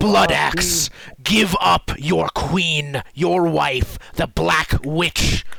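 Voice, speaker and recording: Loud and very slow, a man performs a put-on character voice. Each word is drawn out. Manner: commanding and threatening.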